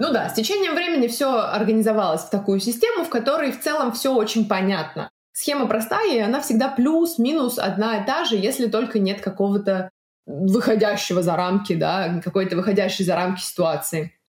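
A woman's fairly high voice with very wide pitch swings, at a fairly quick pace. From Russia. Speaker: podcast host and volunteer. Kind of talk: solo podcast narration.

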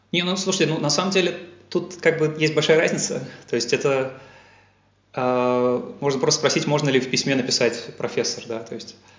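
A man with a fairly high pitch speaks at a moderate pace, with ordinary pitch variation, long and frequent pauses, and audible room echo. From Russia, Yaroslavl. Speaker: scientist. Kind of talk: interview. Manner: hesitant with fillers.

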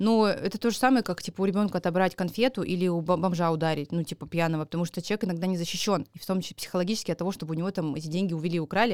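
A woman speaks very fast in a fairly low voice with ordinary pitch variation. The sound is dry and close with no echo, on a very clean recording with a silent background. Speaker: comedian. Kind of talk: casual chat. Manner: animated.

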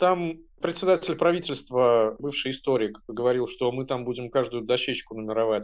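Here is a man with a normal speaking voice. His pitch is medium and his intonation lively. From Russia, Penza. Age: 30s. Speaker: artist and activist. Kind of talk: personal recollection.

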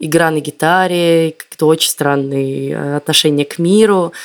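Speaking at a fairly slow pace, a woman has a very deep, low pitch and fairly even intonation. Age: 30s. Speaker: podcast host, former film site editor. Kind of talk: casual chat.

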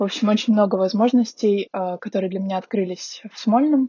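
A woman talks at a fairly quick pace in a medium pitch. Her voice is somewhat breathy, with fairly even intonation. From Russia, Magadan then Saint Petersburg. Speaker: master's graduate. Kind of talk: interview.

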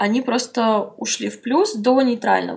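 A woman with fairly even intonation speaks in a fairly high, somewhat breathy voice. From Russia, Saint Petersburg. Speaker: blogger. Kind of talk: interview.

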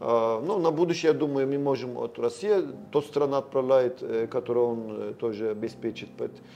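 Over noticeable background noise, a man with a Turkish accent talks at a fairly quick pace in a medium pitch with ordinary pitch variation. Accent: Turkish accent in Russian. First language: Turkish (speaking Russian). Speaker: sales and marketing director. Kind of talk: interview. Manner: halting.

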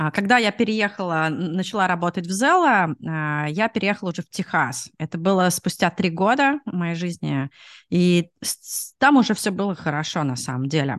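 A woman talks in a fairly low pitch with lively intonation and a moderate pace. The sound is dry and close with no echo, and the background is quiet. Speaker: product manager, immigrant. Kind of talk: interview. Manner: hesitant, many fillers.

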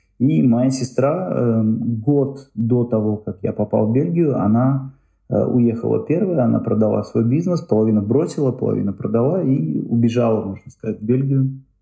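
Speaking at a moderate pace, a man uses a somewhat breathy voice of medium pitch with ordinary pitch variation. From Uzbekistan, Tashkent. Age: 30s. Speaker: tour organizer and blogger. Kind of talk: interview.

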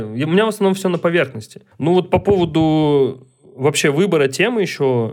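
Amid noticeable background noise, a man speaks at a fairly quick pace with lively intonation and a fairly high pitch for a man. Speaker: documentary photographer. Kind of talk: casual chat.

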